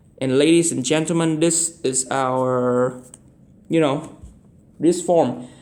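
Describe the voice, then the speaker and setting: At a fairly slow pace, a man speaks in a fairly high pitch with fairly even intonation. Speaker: math tutor. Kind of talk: tutorial. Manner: halting.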